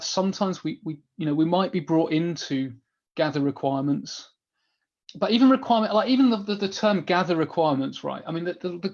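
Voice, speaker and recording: A man speaks at a very fast pace with a high pitch. His intonation is lively, and the background is quiet. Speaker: business analysis trainer. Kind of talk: webinar Q&A. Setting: online webinar. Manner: animated.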